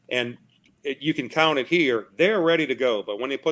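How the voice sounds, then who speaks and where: A man talks fairly quickly, his intonation lively throughout. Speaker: football officiating instructor. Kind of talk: film review discussion. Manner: soft-spoken.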